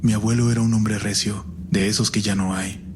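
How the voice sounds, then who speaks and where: A man's fairly low, flat monotone at a fairly quick pace against noticeable background noise. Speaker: horror story narrator. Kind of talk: horror story narration.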